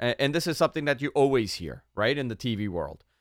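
In a New York accent, a man speaks with a bright, sharp, animated tone. The recording is very clean with a silent background. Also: dry, close sound with no echo. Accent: New York accent, comes out despite effort. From New York City (Queens). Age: 30s. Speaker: radio host. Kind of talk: casual chat.

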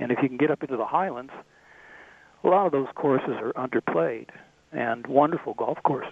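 Fairly high-pitched man at a fairly quick pace, with long, frequent pauses and ordinary pitch variation. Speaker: golf travel author. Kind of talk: casual interview.

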